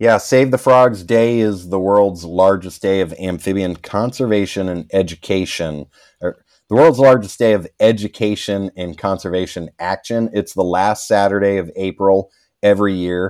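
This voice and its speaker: A man with a plain, everyday voice speaks at a fairly low pitch with ordinary pitch variation in a very clean recording with a silent background. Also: moderate pace. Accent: American. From Virginia, US East Coast. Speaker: amphibian biologist, conservation founder. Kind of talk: interview.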